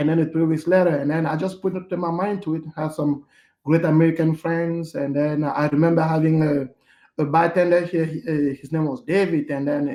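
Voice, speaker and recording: A man speaks with a non-native accent at a fairly quick pace. His pitch is fairly high, and his intonation is fairly even. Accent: foreign. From Cameroon, Yaoundé. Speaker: hotel manager. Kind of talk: interview. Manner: halting, many fillers.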